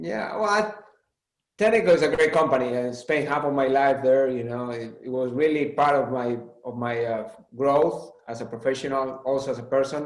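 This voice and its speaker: A man's medium-pitched voice in a Spanish accent, with lively intonation, a moderate pace and audible room echo. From Spain. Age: 40s. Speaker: automotive executive. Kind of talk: interview.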